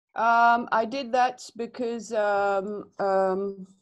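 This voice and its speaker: A woman talks with a French accent. Her voice is fairly high, and her intonation is fairly even. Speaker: animation student. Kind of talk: one-to-one tutorial session. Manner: halting, many fillers.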